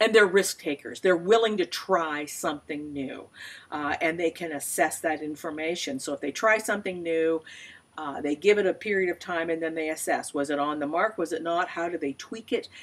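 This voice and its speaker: A woman has an ordinary speaking voice that sits fairly low in pitch. She shows ordinary pitch variation and talks at a moderate pace. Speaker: small business consultant. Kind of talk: tutorial. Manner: casual, with fillers.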